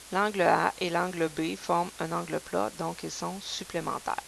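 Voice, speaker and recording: A woman's fairly low-pitched voice over noticeable background noise. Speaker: math teacher. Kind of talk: lecture. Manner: casual, conversational.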